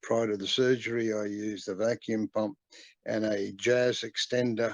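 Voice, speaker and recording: In a dry, close recording with no echo and a quiet background, a man speaks fairly slowly in a fairly low, monotone, flat voice. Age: 70s. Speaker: viewer asking a question. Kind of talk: recorded question. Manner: halting, many fillers.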